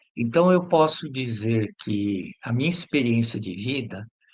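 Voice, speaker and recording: A man's voice with very wide pitch swings. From Brazil, São Paulo. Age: 60s. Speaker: educator. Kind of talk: interview testimony.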